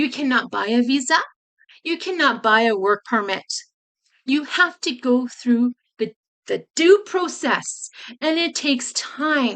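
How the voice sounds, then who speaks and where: With a high pitch, a woman speaks with long, frequent pauses. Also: lively intonation, fairly slow pace. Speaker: travel and immigration consultant, vlogger. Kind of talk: warning message to viewers, vlog. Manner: emphatic.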